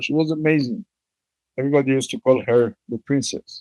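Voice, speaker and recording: A man with an Israeli accent talks at medium pitch with ordinary pitch variation. His moderate pace comes through in a dry, close sound with no echo. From Israel, Jerusalem. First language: Hebrew. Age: 70s. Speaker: bereaved father, peace activist. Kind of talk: testimony. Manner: halting.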